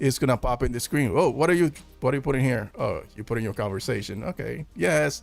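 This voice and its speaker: Over music in the background, a man with a Spanish accent speaks very fast at a fairly high pitch. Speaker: film news streamer. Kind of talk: live stream chat. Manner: animated; halting.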